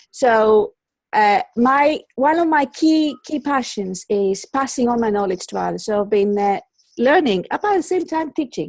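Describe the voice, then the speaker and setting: A woman with a high pitch and very wide pitch swings speaks at a fairly slow pace, recorded very cleanly against a silent background with a dry, close sound and no echo. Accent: Greek. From Greece. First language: Greek. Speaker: colour psychologist. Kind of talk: interview. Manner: halting, many repetitions.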